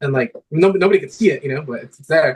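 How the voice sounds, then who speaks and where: A man talks at a fairly quick pace with lively intonation. His voice is somewhat breathy. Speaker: guitarist. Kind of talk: casual chat. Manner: fast; animated.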